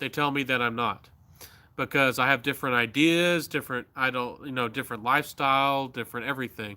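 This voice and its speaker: A man with an American accent speaks at a fairly high pitch in a bright, sharp tone. The recording is very clean, with a silent background. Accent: slight Southern, others doubt he is Southern. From US South. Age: 30s. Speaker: YouTuber. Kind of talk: casual live-stream chat. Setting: outdoors at night on a live stream. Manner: halting, with speech difficulties.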